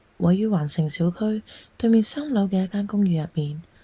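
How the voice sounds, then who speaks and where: A somewhat breathy woman's voice with a Cantonese accent and a dark, mellow tone. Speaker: storyteller. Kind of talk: read story narration.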